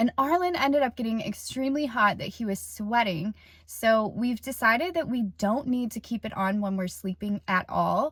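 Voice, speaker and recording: With a plain, everyday voice, a woman talks at a moderate pace with hardly any pauses. Her pitch is fairly high and her intonation lively. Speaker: van life vlogger. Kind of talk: casual vlog. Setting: inside a conversion van.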